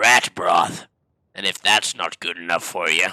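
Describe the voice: Using a put-on character voice, a man sounds raspy and strained at a moderate pace.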